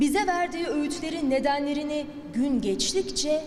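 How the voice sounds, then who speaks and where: Noticeable background noise runs through the clip. A woman talks at a fairly slow pace. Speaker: television presenter. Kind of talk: ceremonial speech. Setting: indoor ceremony.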